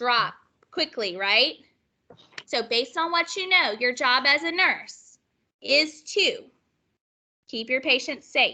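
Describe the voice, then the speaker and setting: A woman uses a raised, projected voice with a high pitch, a bright, sharp tone and lively intonation. She talks very slowly, with long, frequent pauses. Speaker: nursing instructor. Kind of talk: lecture. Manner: animated.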